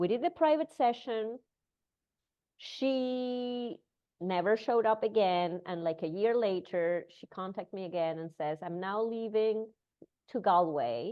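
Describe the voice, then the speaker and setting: A woman with a non-native accent, at a fairly slow pace, with lively intonation and big swings in loudness. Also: medium pitch for a woman. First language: not English. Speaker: breathwork teacher. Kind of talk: casual chat.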